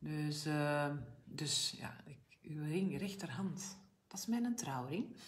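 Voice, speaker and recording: A woman speaks with a very deep, low voice. Her pace is very slow and her intonation lively. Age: 50s. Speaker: health coach and brand ambassador; make-up tutorial host. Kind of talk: live make-up tutorial. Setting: live video stream. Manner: chatty, informal. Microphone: phone near.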